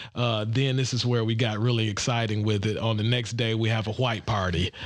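With monotone, flat intonation, this man holds a medium pitch. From Detroit, Michigan. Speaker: golf group president. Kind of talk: podcast interview.

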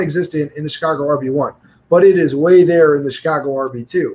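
A man has an ordinary speaking voice. He talks at a moderate pace with an American accent. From New York. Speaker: podcast co-host. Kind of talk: casual chat.

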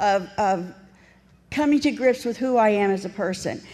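A woman is speaking. Her pitch is fairly high. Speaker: recovery speaker. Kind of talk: testimony. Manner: animated.

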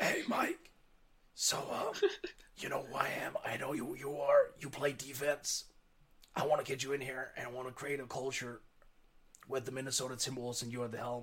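A man speaks in a put-on character voice that is raspy and medium-pitched, at a moderate pace with monotone, flat intonation.

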